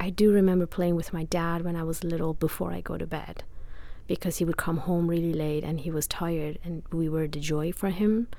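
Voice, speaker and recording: In a Persian accent, a woman speaks at a fairly quick pace with fairly low pitch and monotone, flat intonation. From Iran. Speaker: human rights and feminism advocate. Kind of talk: interview.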